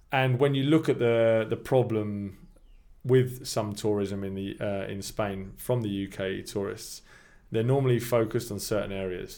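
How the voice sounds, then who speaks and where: Speaking with a southern English accent, a man keeps a moderate pace and fairly even intonation. His medium-pitched voice has a dark, mellow tone. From England, Milton Keynes area. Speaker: long-term expat, English teacher. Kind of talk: casual chat.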